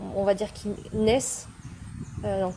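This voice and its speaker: Very fast and somewhat breathy, a woman speaks at a medium pitch with a dark, mellow tone. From France, Pyrénées-Atlantiques. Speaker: spiritual teacher. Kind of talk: online masterclass. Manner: hesitant, many fillers.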